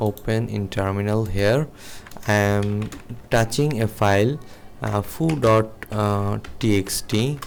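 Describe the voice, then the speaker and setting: Speaking very slowly with a non-native accent, a man keeps a fairly low pitch and leaves long, frequent pauses. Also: ordinary pitch variation. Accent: non-native English speaker. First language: not English. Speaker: programming teacher. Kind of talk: tutorial. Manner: halting, many fillers.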